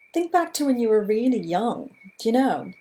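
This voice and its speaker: In a Southern US accent, a woman speaks with a dark, mellow tone. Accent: American Southern. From US Deep South. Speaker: illustrator. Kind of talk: live talk to online audience. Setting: livestream.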